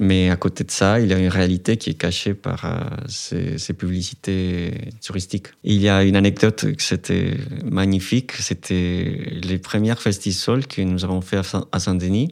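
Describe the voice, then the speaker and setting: A man with a Spanish accent speaks at a fairly slow pace. His pitch is very deep and low, with ordinary variation. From Colombia. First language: Spanish (speaking French). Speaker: student activist. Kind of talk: testimony.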